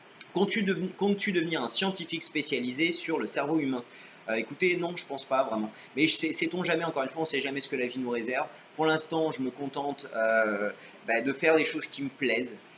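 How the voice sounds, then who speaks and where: A man with a fairly high voice talks at a fairly quick clip with ordinary pitch variation, over noticeable background noise. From France, Paris. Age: 30s. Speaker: YouTuber. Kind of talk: Q&A vlog. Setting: home video recorded on webcam. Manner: hesitant, many fillers.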